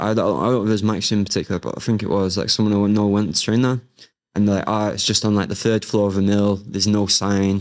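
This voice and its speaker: In a Mancunian accent, a man speaks at a very fast pace with monotone, flat intonation and very even loudness. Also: fairly low pitch for a man. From Manchester, northern England. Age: 20s. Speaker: martial arts coach and MMA fighter. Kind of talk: casual interview.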